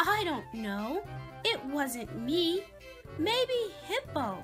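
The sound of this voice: A woman puts on a character voice that is high-pitched and fairly bright, with big pitch swings. She talks at a very slow pace while faint music plays in the background.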